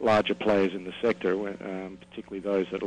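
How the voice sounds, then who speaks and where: This speaker talks at a fairly quick pace with an Australian accent. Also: man. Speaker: oil company executive. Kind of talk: interview. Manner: halting, many fillers.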